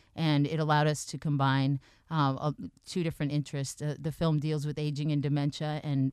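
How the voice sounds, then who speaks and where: A woman with an American accent, a very deep, low pitch and monotone, flat intonation at a fairly quick pace against a quiet background. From Boston area. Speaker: screenwriter. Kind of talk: interview.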